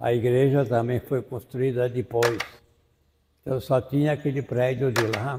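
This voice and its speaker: A man speaks at a medium pitch and a fairly slow pace, his dark, mellow tone somewhat breathy and his intonation fairly even. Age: 80s+. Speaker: friar, priest. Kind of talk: interview testimony.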